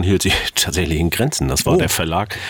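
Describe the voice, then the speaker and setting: There is noticeable background noise as a man speaks with a very deep, low pitch. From East Germany. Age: 50s. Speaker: author and former sailor. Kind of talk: interview.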